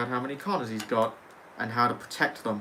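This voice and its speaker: Delivering his words at a very fast pace, a man speaks at a medium pitch with fairly even intonation. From England. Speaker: gaming livestreamer. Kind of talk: casual livestream chat.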